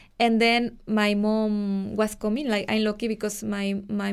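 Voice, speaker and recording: A woman with a Mexican accent talks at a fairly slow pace and a fairly high pitch. The recording is very clean and the background silent. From Mexico. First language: Spanish. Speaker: Mexican expat living in Ireland. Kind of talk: casual interview conversation.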